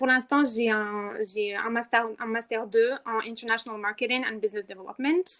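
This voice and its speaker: Here a woman speaks at a fairly slow pace. Her intonation is fairly even. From Morocco, Rabat. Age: 20s. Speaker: activist, movement co-founder. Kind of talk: podcast interview. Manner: hesitant, many fillers.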